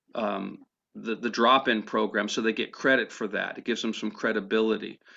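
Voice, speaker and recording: Vocal fry colors this man's voice. He has a medium pitch and a moderate pace. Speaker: homelessness outreach liaison. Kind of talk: public meeting report. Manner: halting, repeats words.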